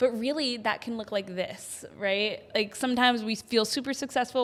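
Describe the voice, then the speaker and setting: A loud, animated woman's voice, high in pitch, with ordinary pitch variation. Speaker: podcast co-host. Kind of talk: casual chat.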